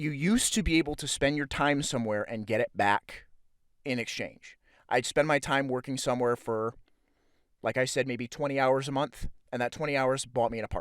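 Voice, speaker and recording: This man's medium-pitched voice, with ordinary pitch variation, moves at a fairly quick pace. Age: 20s. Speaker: podcaster. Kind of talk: monologue. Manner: fast; halting.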